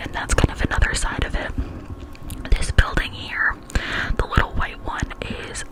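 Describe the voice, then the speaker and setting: A woman whispering with an American accent amid noticeable background noise. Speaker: ASMR content creator. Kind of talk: casual vlog talk to camera, tour narration. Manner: whispered, soft-spoken.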